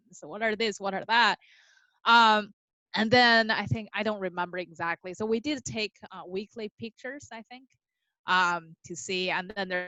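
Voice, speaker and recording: A woman with a Chinese accent speaks at a moderate pace in a medium pitch, her pitch varying in an ordinary way while her loudness swings widely. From China. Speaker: podcast guest, new mother. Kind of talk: casual interview, personal birth story. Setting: podcast interview.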